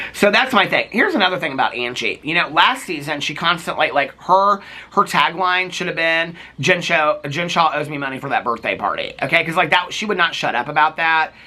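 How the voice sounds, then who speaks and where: Through noticeable background noise, a man with an American accent and a high pitch speaks in an animated tone at a fairly quick pace, with ordinary pitch variation. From Indiana, US Midwest. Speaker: reality TV commentator. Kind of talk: casual recap monologue.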